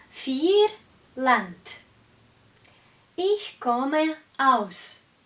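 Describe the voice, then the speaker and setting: Swinging very widely in pitch, a woman with a Russian accent speaks in a high voice. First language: Russian (speaking German). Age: 20s. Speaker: German teacher. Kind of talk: language lesson tutorial. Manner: slow, clear.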